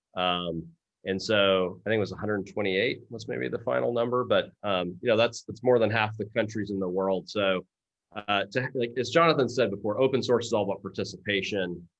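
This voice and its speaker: A man with a Texas accent, fairly low pitch, ordinary pitch variation and a fairly quick pace. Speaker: open source foundation leader. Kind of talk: Q&A discussion.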